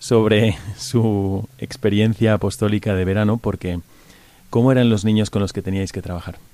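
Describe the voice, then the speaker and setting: A fairly low-pitched man with a dark, mellow tone, fairly quick pace, and ordinary pitch variation. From Spain, Valencia. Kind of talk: religious radio talk show. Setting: studio.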